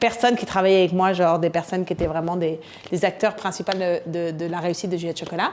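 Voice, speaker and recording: A woman speaks at a fairly quick pace with an animated tone. Noticeable background noise is present. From France. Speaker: entrepreneur, conference speaker. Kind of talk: conference talk.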